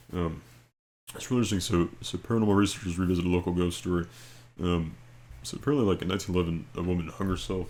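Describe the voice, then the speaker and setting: A man speaks quietly in a very deep, low voice, at a very fast pace with ordinary pitch variation. He leaves long, frequent pauses. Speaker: video creator. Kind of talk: casual storytelling and reading aloud. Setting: at home late at night. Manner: speaking quietly; halting, many fillers and repeats.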